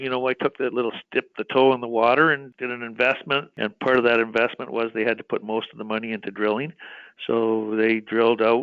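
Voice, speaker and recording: Here a man with an ordinary speaking voice talks at medium pitch in a Canadian accent. His pace is fairly quick and his intonation fairly even. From Western Canada (British Columbia). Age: 60s. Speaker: mining company executive. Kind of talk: interview. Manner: conversational, with frequent fillers and restarts.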